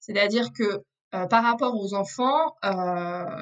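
A woman's voice, fairly high in pitch, its variation ordinary. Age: 30s. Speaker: former lawyer, legal advisor. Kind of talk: interview on family law. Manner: hesitant, many fillers.

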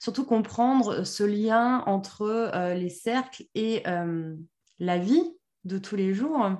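Lively intonation carries a dark, mellow tone over a quiet background. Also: woman. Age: 30s. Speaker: podcast host, women's circle facilitator. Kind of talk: casual conversation.

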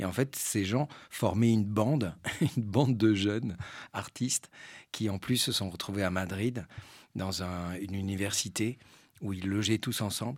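On a very clean recording with a silent background, a man talks at a fairly slow pace and a fairly low pitch. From French Basque Country and Spain. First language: Spanish (speaking French). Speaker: actor and stage director. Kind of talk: public talk interview. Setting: cinema with live audience. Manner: hesitant, repeats words.

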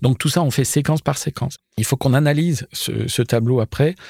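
A man's voice has a dark, mellow tone and ordinary pitch variation. The sound is dry and close with no echo, on a very clean recording with a silent background. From Jura, eastern France. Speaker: costume designer. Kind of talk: interview. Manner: hesitant, many repetitions.

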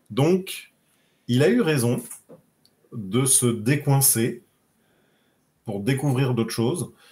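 A man's somewhat breathy, dark, mellow voice at a very slow pace. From southern France, Nice. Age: 30s. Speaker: interview guest sharing coming-out story. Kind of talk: casual interview.

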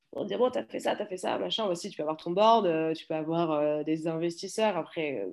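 A woman speaks at fairly low pitch. Her pace is moderate. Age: 30s. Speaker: startup founder. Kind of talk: interview. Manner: halting.

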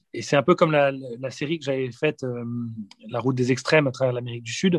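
Against a quiet background, a man of medium pitch talks at a fairly quick pace with fairly even intonation in a dry, close sound with no echo. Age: 40s. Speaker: war reporter and documentary filmmaker. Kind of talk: interview. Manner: halting, frequent word repetitions.

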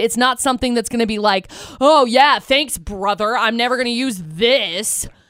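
A woman speaks in a plain, everyday voice. Her pitch is fairly high and her pace fairly quick. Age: 20s. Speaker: morning radio co-host. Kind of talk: casual chat. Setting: studio.

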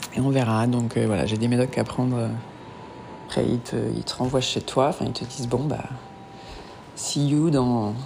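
At a moderate pace with long, frequent pauses, a woman speaks in a very deep, low voice with fairly even intonation over noticeable background noise. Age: 30s. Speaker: woman pursuing solo fertility treatment. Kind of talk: audio diary. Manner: halting.

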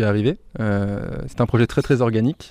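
The speaker is a man. His pitch is medium. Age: 20s. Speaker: eco-campus volunteer coordinator. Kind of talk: interview. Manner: halting, many hesitations.

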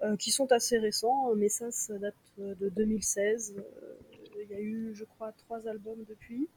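A woman's fairly high voice at a very slow pace, with monotone, flat intonation. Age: 30s. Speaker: concert organizer. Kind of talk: casual chat.

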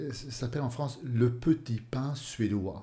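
A man at a medium pitch speaks with a dark, mellow tone and a somewhat breathy quality. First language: Swedish (speaking French). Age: 50s. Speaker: author. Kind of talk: interview. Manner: halting.

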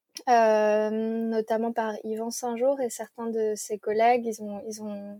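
Her voice is fairly high-pitched with a dark, mellow tone, and this woman speaks at a fairly slow pace in a dry, close sound with no echo on a very clean recording with a silent background. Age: 20s. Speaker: environmental engineer and tiny house village founder. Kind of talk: interview. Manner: hesitant with frequent fillers and repetitions.

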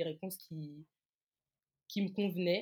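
In a monotone, flat intonation, a woman speaks at a fairly slow pace with a fairly low pitch. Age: 20s. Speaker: communications freelancer and Instagram author. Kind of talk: interview testimony.

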